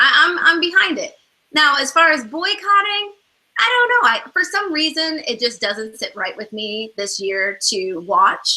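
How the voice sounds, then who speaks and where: A woman raises and projects her voice at an extremely high pitch. Her pitch swings very widely as she speaks at a fairly slow pace. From Ethiopia. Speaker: talk show co-host. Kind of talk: casual chat. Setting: video call.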